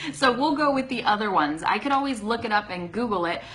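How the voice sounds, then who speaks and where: Talking fairly quickly with an American accent, a woman has medium pitch and lively intonation. Noticeable background noise runs underneath. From US West, Sacramento California. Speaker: English teacher. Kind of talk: live stream Q&A lesson. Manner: casual, with frequent fillers.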